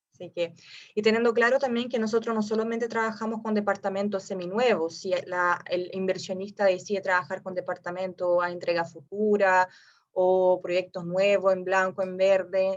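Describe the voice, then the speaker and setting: At a moderate pace over a quiet background, a woman with a slight non-native accent speaks at medium pitch with fairly even intonation. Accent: slight foreign accent in Spanish. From Brazil. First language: Portuguese (speaking Spanish). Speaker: real estate investment advisor. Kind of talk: webinar presentation. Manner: halting with fillers.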